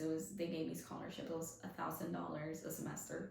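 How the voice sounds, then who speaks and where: This woman has a Spanish accent and a fairly low pitch with vocal fry. Audible room echo surrounds her voice. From Colombia, Medellín. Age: 20s. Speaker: small business owner. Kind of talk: podcast interview.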